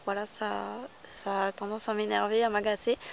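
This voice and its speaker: At a moderate pace, the woman talks with noticeable background noise behind her. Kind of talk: casual vlog. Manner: hesitant with many fillers.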